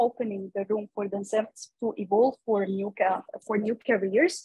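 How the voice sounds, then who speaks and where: A woman speaks in an Arabic accent at a moderate pace, her voice fairly high and somewhat breathy. Her intonation is fairly even. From Egypt. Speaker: young foresight practitioner, panelist; panelist. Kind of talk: online panel discussion. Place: office. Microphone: video call.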